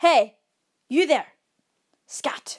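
Putting on a character voice, a woman speaks at a very slow pace with a high pitch and lively intonation.

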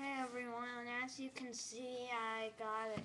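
Over noticeable background noise, a woman speaks at a fairly slow pace with monotone, flat intonation. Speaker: gaming video uploader. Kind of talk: casual tutorial talk to camera. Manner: hesitant, casual.

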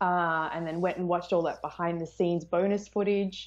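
Over a quiet background, a woman with an Australian accent keeps fairly even intonation. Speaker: film YouTuber. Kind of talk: casual chat. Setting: video call. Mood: cheerful, friendly. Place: home room. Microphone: earbuds.

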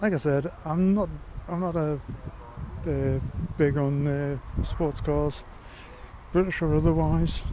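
A man with an English accent speaks at a very slow pace, the sound dry with no echo but carrying noticeable background noise. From England. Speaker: YouTuber; walkaround vlogger. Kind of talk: vlog walkaround commentary. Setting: outdoors at a car show. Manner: casual, hesitant with fillers. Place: open country. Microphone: phone near.

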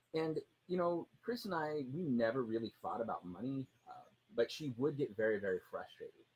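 This man's voice is somewhat breathy and fairly high in pitch, with very wide pitch swings. He talks at a moderate pace. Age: 40s. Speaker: personal finance blogger; personal finance blogger co-host. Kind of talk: casual chat. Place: garden. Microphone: studio mic.

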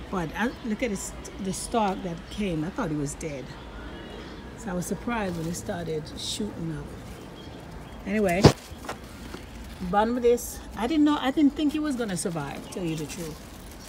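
A woman at a moderate pace, her pitch swinging very widely, with long, frequent pauses and noticeable background noise. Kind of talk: casual vlog chat. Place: garden. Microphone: phone near.

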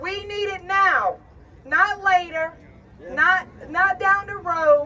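A woman speaks in a raised, projected voice. Her pitch is extremely high, with ordinary pitch variation. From Louisiana, US Gulf Coast. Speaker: shrimping community activist. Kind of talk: impassioned protest rally speech from a prepared text. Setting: outdoors on capitol steps before a crowd. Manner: fiery, defiant and urgent, building to rhetorical questions; folksy, plainspoken delivery. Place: street. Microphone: camera far.

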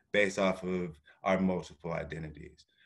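Against a quiet backdrop, the talking goes along at a fairly slow speed. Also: man. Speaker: panel moderator. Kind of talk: panel discussion. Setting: video call. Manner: casual and playful. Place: home room. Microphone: video call.

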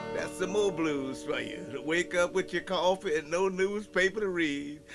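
Clear music plays behind a man with a New Orleans accent who speaks at a moderate pace in a high voice with ordinary pitch variation. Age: 70s. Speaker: musician. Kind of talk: interview answer. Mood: warm, reminiscing. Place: studio.

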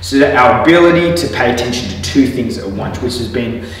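Strong room echo surrounds a man talking at a moderate pace. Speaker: physiotherapist instructor. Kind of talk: tutorial. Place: gym.

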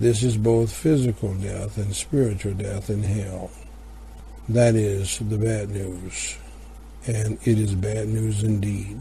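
Somewhat breathy and dark, mellow in tone, a man speaks at a fairly low pitch. His pace is very slow. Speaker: broadcast announcer. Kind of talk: scripted announcement and gospel invitation. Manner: formal.

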